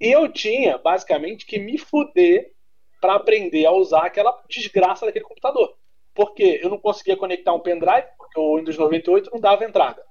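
A man with a high pitch speaks at a moderate pace, his intonation lively. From Niterói / São Gonçalo, Rio de Janeiro state, Brazil. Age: 20s. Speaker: content creator. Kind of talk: casual chat.

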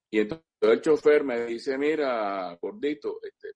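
A man speaks in a Caracas accent. The sound is dry and close, with no echo. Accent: Venezuelan Spanish (Caracas). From Venezuela, Caracas. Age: 60s. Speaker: cuatro musician and instrument historian. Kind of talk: interview, casual storytelling. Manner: halting, many repetitions and fillers.

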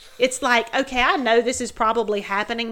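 A woman with a Southern US accent speaks at a fairly quick pace in a bright, sharp tone, with vocal fry. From US South. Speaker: podcast guest, mother of co-host. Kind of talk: casual chat.

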